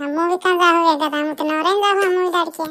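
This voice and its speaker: A female-sounding cartoonish character voice at an extremely high pitch. The delivery is very fast. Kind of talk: rustic cartoon comedy.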